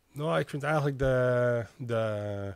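The sound is dry with no echo as a man speaks with ordinary pitch variation over a quiet background. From Medemblik, North Holland, Netherlands; North Holland, Netherlands. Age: 30s. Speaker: small business owner and festival volunteer; guest. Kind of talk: casual interview. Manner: hesitant, many filler sounds. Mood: relaxed, reminiscing. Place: studio. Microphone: studio mic.

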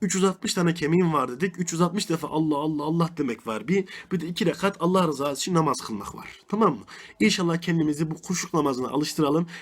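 This man's high-pitched voice moves at a fairly quick pace with ordinary pitch variation. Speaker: religious teacher. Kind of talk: religious lesson. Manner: fast.

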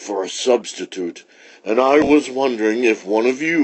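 Someone reads aloud here, using a natural voice.

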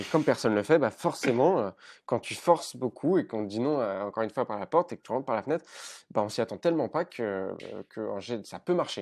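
With lively intonation, a man races along at a very fast pace. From rural Paris region, France. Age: 20s. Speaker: entrepreneur; podcast guest. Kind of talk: casual chat. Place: home room. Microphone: earbuds.

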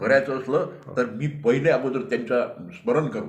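A man speaks at a medium pitch with noticeable background noise. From Vidarbha, Maharashtra (Amravati district village). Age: 70s. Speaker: farmer and devotee. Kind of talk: testimony.

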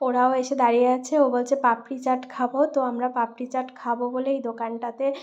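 Quiet speech in a monotone, flat intonation. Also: woman. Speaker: vlogger. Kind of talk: casual vlog narration. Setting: outdoors at a fair.

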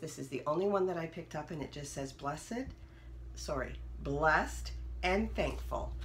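Noticeable background noise behind a woman speaking at a moderate pace. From Ontario, Canada. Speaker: haul vlogger. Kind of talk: product haul show-and-tell. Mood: cheerful, upbeat. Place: home room. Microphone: phone near.

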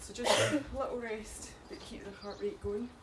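A woman speaks at a fairly slow pace. Loud background noise runs throughout. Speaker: fitness instructor. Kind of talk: live workout instruction. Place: garden.

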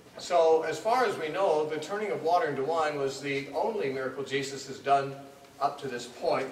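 Moderately paced male speech, ordinary in its pitch variation, with audible room echo and light background noise. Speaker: teacher. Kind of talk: lecture. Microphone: podium.

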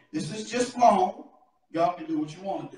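Audible room echo surrounds a man as he speaks. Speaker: preacher. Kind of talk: sermon. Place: church. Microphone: camera far.

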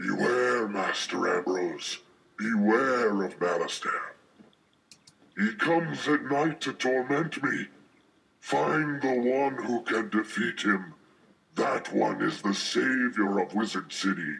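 A man's put-on character voice at medium pitch, delivered at a fairly slow pace. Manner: solemn, warning.

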